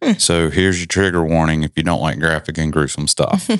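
A man with a playful tone against a quiet background. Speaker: podcast host. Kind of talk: casual chat, podcast banter. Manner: joking, playful.

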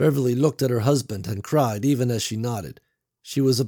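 The clip carries a natural reading voice, and the background is quiet.

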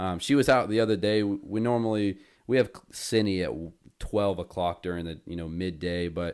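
Over a silent background on a very clean recording, a man talks with an American accent. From North Carolina (Winston-Salem). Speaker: podcast host, college student. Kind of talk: casual chat. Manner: animated.

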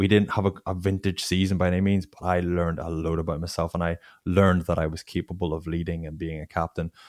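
Very deep and low, a man's voice races at a very fast pace with monotone, flat intonation. The sound is dry and close with no echo, on a very clean recording with a silent background. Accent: Northern Irish. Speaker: former pro rugby player, tech founder. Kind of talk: interview.

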